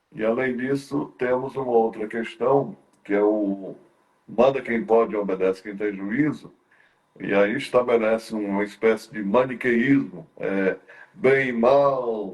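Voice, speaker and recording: A man speaks very slowly, and his pitch varies in an ordinary way. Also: medium pitch for a man. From Brazil, Ceará interior (Northeast). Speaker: talk show host. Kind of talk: interview conversation. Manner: halting, many fillers and repetitions.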